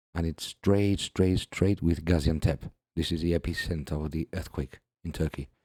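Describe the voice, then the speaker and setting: Over a silent background in a very clean recording, a man with a very deep, low pitch talks at a moderate pace in a dark, mellow tone with fairly even intonation, the sound dry and close with no echo. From Gibraltar. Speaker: YouTube commentator. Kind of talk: video commentary. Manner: casual, non-professional delivery.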